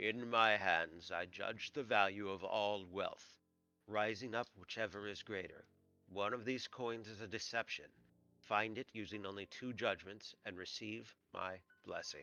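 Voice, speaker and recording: A man uses a put-on character voice that is booming and resonant, with a fairly low pitch. He speaks at a moderate pace with fairly even intonation. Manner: commanding, solemn.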